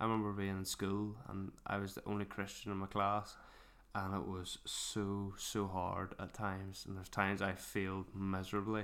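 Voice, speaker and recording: Using a fairly low pitch and monotone, flat intonation, a man talks with a Northern Irish accent. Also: moderate pace. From Northern Ireland, Mourne area. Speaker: podcast host. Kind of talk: casual chat.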